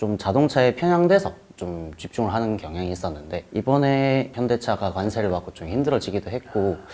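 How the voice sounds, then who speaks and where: With hardly any pauses, a man speaks at a moderate pace in a fairly low pitch, with a dark, mellow tone and lively intonation. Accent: Gyeongsang. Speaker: job applicant, interviewee. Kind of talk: interview.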